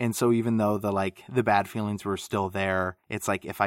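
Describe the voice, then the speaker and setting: The sound is dry and close, with no echo, as a man talks at a fairly low pitch. His is a normal speaking voice with fairly even intonation. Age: 30s. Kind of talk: casual chat. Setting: remote recording call.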